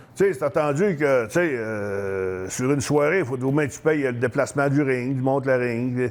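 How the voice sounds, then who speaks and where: A man speaks in a plain, everyday voice at medium pitch, keeping a moderate pace with ordinary pitch variation and hardly any pauses. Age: 60s. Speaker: retired professional wrestler. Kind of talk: interview. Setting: fitness store.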